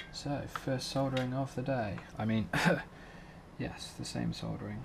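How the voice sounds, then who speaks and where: Speaking at a fairly slow pace, a man is heard with audible room echo around his voice. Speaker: drone hobbyist. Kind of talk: tutorial. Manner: monotone; hesitant, filler-heavy.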